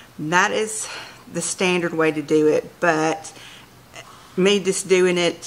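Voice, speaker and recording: Using an unremarkable speaking voice, a woman talks with a fairly low pitch and fairly even intonation. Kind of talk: tutorial. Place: kitchen.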